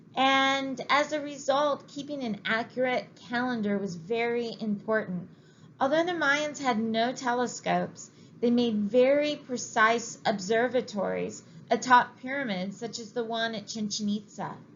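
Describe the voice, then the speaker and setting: Her high-pitched voice moving at a fairly slow pace, a woman speaks with audible room echo. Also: ordinary pitch variation. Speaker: history teacher. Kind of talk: lecture. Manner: reading from text.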